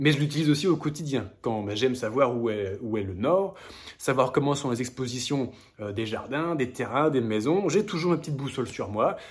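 This man has an ordinary speaking voice, medium in pitch, and talks at a moderate pace. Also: lively intonation. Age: 30s. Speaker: hiking video creator. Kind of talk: casual vlog with gift recommendations.

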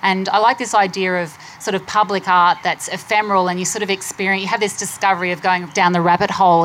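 A woman talks very fast at a medium pitch in an Australian accent. Her intonation is flat and monotone. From Queensland, Australia. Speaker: artist. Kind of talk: panel discussion.

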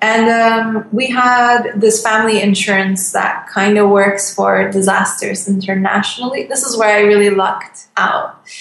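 Against noticeable background noise, a woman with a medium pitch speaks in a monotone, flat intonation with hardly any pauses. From Turkey. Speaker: illustrator and designer. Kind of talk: casual interview chat.

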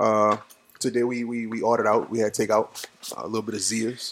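A man speaks with an American accent. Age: 30s. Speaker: podcast host. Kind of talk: casual chat.

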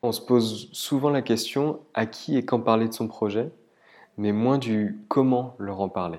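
A man's medium-pitched voice with ordinary pitch variation, in a very clean recording with a silent background. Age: 30s. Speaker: human resources professional. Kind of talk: scripted narration. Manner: hesitant fillers.

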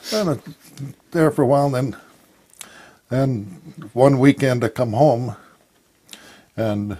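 Fairly slow and at medium pitch, a man talks with ordinary pitch variation. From Idaho. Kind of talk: interview testimony. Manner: halting.

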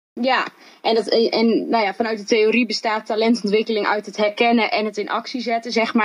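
Talking at a fairly quick pace, a woman uses a fairly high pitch. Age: 20s. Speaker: social entrepreneur. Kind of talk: interview. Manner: animated.

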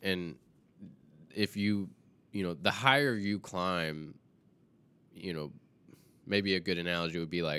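On a very clean recording with a silent background, a bright, sharp voice with an American accent moves at a fairly slow pace with ordinary pitch variation. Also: man. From US South. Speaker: filmmaker. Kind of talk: casual chat.

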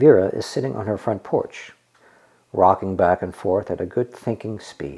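A man's fairly low, dark and mellow voice with vocal fry and lively intonation, at a moderate pace. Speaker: narrator. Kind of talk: scripted narration.

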